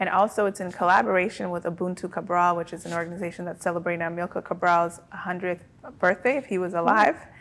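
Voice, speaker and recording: At a very fast pace, a woman speaks with fairly even intonation. Her voice is fairly low. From Cape Verde. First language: Cape Verdean Creole. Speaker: author, artist and activist. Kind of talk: podcast interview.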